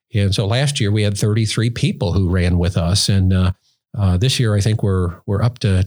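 On a very clean recording with a silent background, a man speaks at a moderate pace in a fairly low, somewhat breathy voice with ordinary pitch variation. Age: 60s. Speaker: road safety campaign founder and podcast host. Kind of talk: interview conversation. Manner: halting, many fillers.

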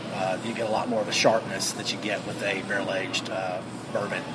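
Noticeable background noise is present. A man does the talking. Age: 40s. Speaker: brewery owner. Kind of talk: casual interview. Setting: on location at a brewery. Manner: halting.

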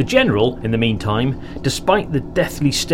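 Lively intonation in a plain read-aloud delivery

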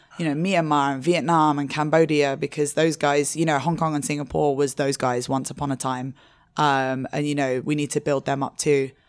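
On a very clean recording with a silent background, a woman with a London accent speaks at a moderate pace in a very deep, low pitch with monotone, flat intonation. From England. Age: 30s. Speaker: drinks magazine editor and part-time bartender. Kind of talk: interview. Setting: in-person interview at a hotel.

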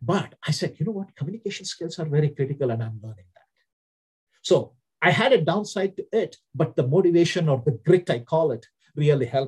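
A man with an Indian accent talks at a fairly quick pace in a fairly high pitch, with lively intonation and big swings in loudness. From India (Hyderabad). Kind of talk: interview.

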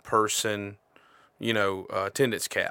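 In a very clean recording with a silent background and a dry, close sound with no echo, a man with a Southern US accent speaks at a medium pitch in a bright, sharp tone with fairly even intonation. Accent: US South. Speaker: podcast co-host. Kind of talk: casual chat.

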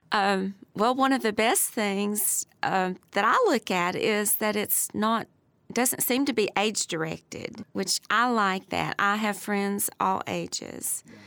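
In a Tennessee accent, the speaker uses a bright, sharp tone and fairly even intonation at a very slow pace, with a dry, close sound with no echo. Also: woman, medium pitch for a woman. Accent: Southern US (Tennessee). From US South, Bristol, Tennessee. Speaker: retired city employee. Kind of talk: casual interview.

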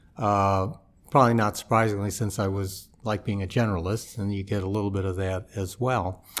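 Speaking with an American accent, a man uses a plain, everyday voice with fairly low pitch and fairly even intonation. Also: fairly quick pace. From US Midwest, St. Louis. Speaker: federal judge. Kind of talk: interview. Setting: studio.

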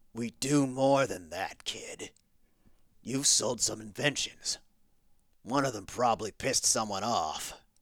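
A man puts on a raspy character voice at a medium pitch with ordinary pitch variation. Long, frequent pauses break up his speech. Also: fairly slow pace, very clean recording, silent background. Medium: audio drama. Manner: gruff, blunt.

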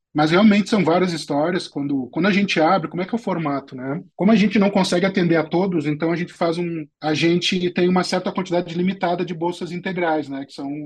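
A man talks at a very fast pace with hardly any pauses. His pitch is high and his intonation fairly even. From southern Brazil, Porto Alegre. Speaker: tech entrepreneur. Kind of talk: interview.

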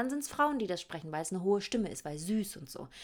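A woman's medium-pitched voice at a very fast pace. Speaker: podcast host. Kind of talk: casual monologue. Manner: animated.

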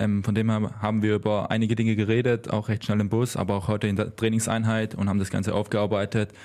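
With a Swabian accent, a man talks at a fairly quick pace in a fairly low pitch and a dark, mellow tone. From Swabia, Germany. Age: 20s. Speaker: handball player. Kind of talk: interview.

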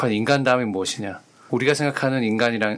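A man at medium pitch, a very fast pace, ordinary pitch variation, and noticeable background noise. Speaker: podcast co-host. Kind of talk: casual discussion.

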